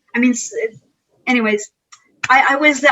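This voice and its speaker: Speaking at a moderate pace, a woman with a Quebec accent has a high pitch. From Quebec (Montreal). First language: French. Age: 50s. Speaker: karate instructor. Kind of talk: interview conversation. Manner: animated; halting.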